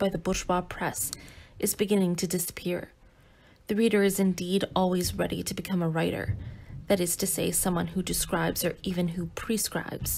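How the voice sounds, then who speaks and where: This woman's voice sits at a medium pitch, with vocal fry. She talks at a moderate pace in a flat, monotone intonation. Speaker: audiobook reader. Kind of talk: philosophical essay reading.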